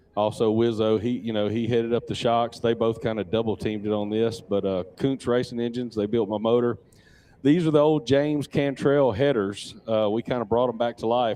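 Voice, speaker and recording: A man talks at a fairly quick pace. His pitch sits in the middle range. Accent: Louisiana. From Louisiana. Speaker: off-road racer. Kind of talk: live interview. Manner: relaxed, halting with fillers.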